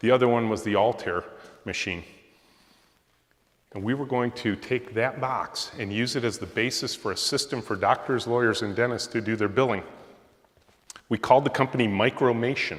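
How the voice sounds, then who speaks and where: At a fairly quick pace, a man with a Midwestern American accent speaks at medium pitch with ordinary pitch variation. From Michigan, Macomb County near Detroit. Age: 60s. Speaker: software company founder and CEO. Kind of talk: guest lecture.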